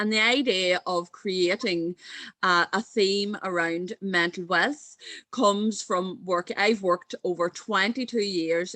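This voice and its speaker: A woman with an Irish accent speaks at a fairly slow pace, her medium-pitched voice bright and sharp in tone with ordinary pitch variation, in a dry, close sound with no echo. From Ireland. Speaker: mental health coach and speaker. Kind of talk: conference talk.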